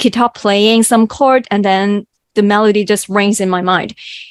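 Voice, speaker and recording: In a dry, close sound with no echo, a woman speaks at medium pitch with a Cantonese accent. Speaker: mathematician and songwriter. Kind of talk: interview. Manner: halting.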